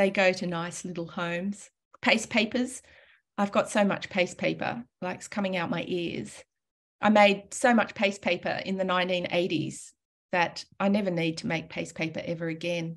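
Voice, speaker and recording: This woman speaks with an Australian accent at a moderate pace. Her pitch sits in the medium range. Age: 60s. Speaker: calligrapher and teacher; teacher. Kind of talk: presentation. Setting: video call. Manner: animated. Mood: warm, informal, humorous. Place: home room. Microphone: webcam.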